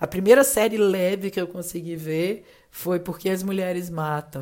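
A woman with an ordinary speaking voice talks at a fairly low pitch and a moderate pace with ordinary pitch variation on a very clean recording with a silent background. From Minas Gerais, Juiz de Fora (born in Rio de Janeiro). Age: 30s. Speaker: advertising professional. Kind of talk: casual interview chat.

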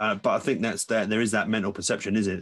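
A man with fairly even intonation, over a quiet background. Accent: English. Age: 30s. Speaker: podcast host. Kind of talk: casual chat.

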